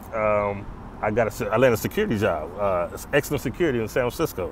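At a fairly quick pace, a man talks in a dry sound with no echo over light background noise. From Los Angeles, California. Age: 40s. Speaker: former prisoner, author. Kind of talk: casual interview. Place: open country. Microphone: lapel.

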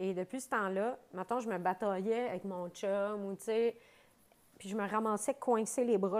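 A woman with a Quebec accent speaks at a fairly slow pace. Her tone is animated. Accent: Québécois French. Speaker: comedian and mother; podcast guest, comedian. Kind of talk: casual chat. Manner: animated, laughing. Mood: animated, joking storytelling. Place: studio.

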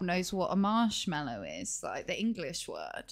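A woman's voice makes very wide pitch swings over light background noise. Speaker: gaming streamer; game streamer. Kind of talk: casual chat. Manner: loud. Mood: amused, chuckling. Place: home room. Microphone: headset.

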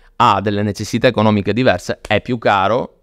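Speech moves at a moderate pace. The background is quiet, and the sound is dry with no echo. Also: man. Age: 40s. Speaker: luxury watch dealer; podcast guest. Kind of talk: casual interview. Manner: animated. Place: studio. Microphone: studio mic.

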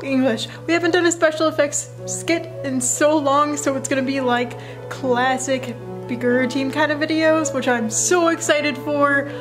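Clear music sits in the background as a woman talks at a moderate pace. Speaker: cosplay vlogger. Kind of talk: casual vlog chat. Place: home room. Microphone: phone near.

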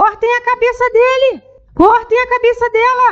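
Shouting in a shrill, put-on character voice, a female-sounding speaker hits extremely high pitches. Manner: shrill, shouting.

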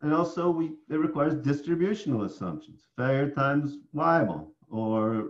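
A man with an American accent, fairly high in pitch with very wide pitch swings, at a moderate pace against a quiet background. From upstate New York. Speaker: professor; professor presenting tutorial. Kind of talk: lecture. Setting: online conference presentation. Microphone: webcam.

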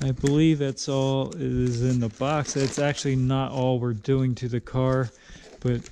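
There is light background noise as a man speaks. His delivery is fairly slow and monotone, with flat intonation. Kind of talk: casual vlog chat. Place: garage. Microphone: phone near.

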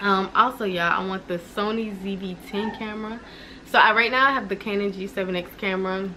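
A woman talks at a moderate pace with fairly even intonation and long, frequent pauses. Her loudness swings widely, and light background noise is present. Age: 20s. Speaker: lifestyle vlogger. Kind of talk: casual vlog. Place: home room. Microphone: camera far.

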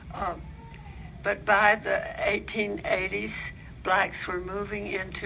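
A woman's voice carries audible room echo. Noticeable background noise can be heard as well. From Alabama, Birmingham. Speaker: author and photography historian. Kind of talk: lecture. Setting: library lecture with audience.

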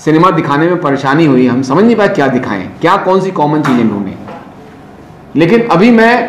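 A man's fairly high voice with very wide pitch swings, plus audible room echo and noticeable background noise. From North India, Allahabad. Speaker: film society organiser. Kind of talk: talk to students.

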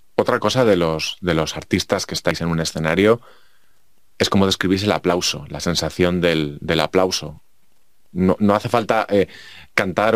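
Very deep, low male speech with fairly even intonation. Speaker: podcast host. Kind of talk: interview.

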